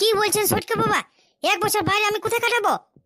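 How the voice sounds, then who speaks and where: A woman performs a cartoonish character voice, squeaky and extremely high in pitch, at a fairly quick pace. Her intonation stays monotone and flat, and her loudness is very even. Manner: whiny, pleading.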